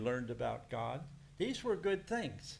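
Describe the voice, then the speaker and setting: A man with an American accent talks at a fairly slow pace, his intonation lively. His voice is somewhat breathy, with audible room echo. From United States. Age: 70s. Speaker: preacher. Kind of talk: sermon.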